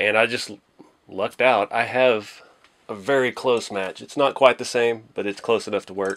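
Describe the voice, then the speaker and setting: A man talks with ordinary pitch variation, and the background is quiet. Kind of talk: casual tutorial commentary. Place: home room.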